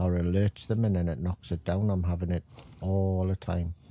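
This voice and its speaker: Delivered in a Geordie accent, the voice has a dark, mellow tone and monotone, flat intonation. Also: man. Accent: north-east English (Geordie). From England. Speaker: gaming streamer. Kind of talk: live gameplay stream chat. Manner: casual, hesitant with fillers.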